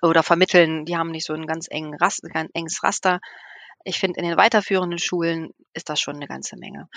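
Fairly low in pitch, a woman talks at a very fast pace with fairly even intonation. The sound is dry and close, with no echo. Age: 50s. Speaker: nun and children's village mother. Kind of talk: casual chat.

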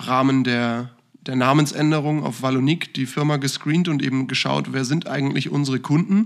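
A normal speaking voice from a man, medium in pitch, with fairly even intonation at a moderate pace, in a very clean recording with a silent background. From northern Germany, Hamburg. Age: 20s. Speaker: financial consultant and managing director. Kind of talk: casual podcast interview.

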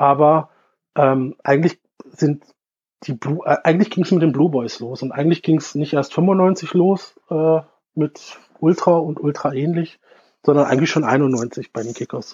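A man talks at a fairly slow pace in a fairly high pitch. His pitch varies in an ordinary way. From Bielefeld and Innsbruck, then Stuttgart from 13. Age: 30s. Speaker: football fan and fanzine maker. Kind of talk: casual interview.

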